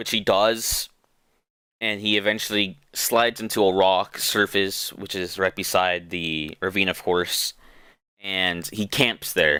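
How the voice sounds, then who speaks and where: Recorded very cleanly over a silent background, a man with a fairly low pitch and a bright, sharp tone talks at a fairly slow pace with fairly even intonation. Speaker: podcast host. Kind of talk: casual podcast book summary.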